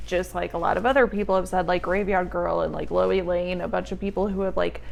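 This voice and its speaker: A woman speaks at a very fast pace. Noticeable noise runs in the background. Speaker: vlogger. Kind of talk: casual storytime vlog. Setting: home, on tripod. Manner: loud; animated.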